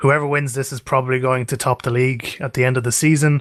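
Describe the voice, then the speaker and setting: A man with an Irish accent talks fairly quickly at a medium pitch in a monotone, flat intonation, recorded very cleanly over a silent background. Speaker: esports caster. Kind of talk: live commentary.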